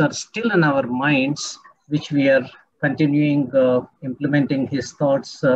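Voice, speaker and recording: A man talks at a fairly high pitch in a somewhat breathy voice. He keeps a moderate pace. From India. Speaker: dean at business school. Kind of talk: eulogy at online memorial. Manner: halting. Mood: solemn, respectful remembrance. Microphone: video call.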